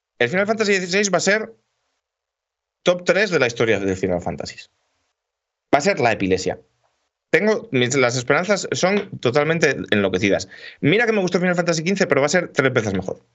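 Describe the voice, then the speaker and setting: In an animated tone with very wide pitch swings and vocal fry, a man speaks fairly quickly at a fairly high pitch, leaving long, frequent pauses. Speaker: video game podcast host. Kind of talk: casual chat.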